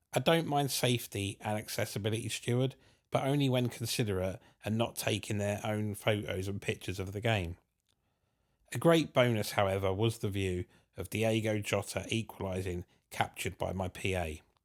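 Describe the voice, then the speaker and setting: With a southern English accent, a man speaks with ordinary pitch variation. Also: fairly low pitch for a man, moderate pace, very clean recording, silent background. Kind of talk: scripted narration.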